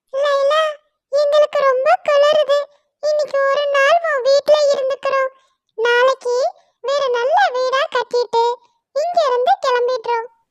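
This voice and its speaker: A female-sounding cartoonish character voice speaks at an extremely high pitch and a very slow pace. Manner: whiny, wheedling.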